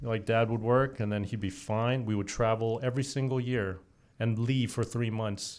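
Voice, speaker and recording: On a very clean recording with a silent background, a man of medium pitch speaks at a moderate pace in a monotone, flat intonation. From Saudi Arabia. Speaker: chef. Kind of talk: casual chat. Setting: studio.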